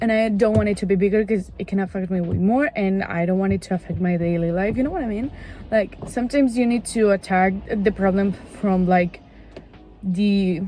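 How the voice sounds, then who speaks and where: With a non-native accent, a woman speaks at a fairly quick pace in a medium pitch with ordinary pitch variation. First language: not English. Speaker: vlogger. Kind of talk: casual chat. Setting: in a car. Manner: halting.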